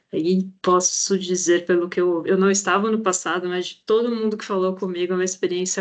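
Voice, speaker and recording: A woman has a plain, everyday voice with fairly even intonation. Her pace is moderate. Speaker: project coordinator presenting an education challenge. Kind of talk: online presentation.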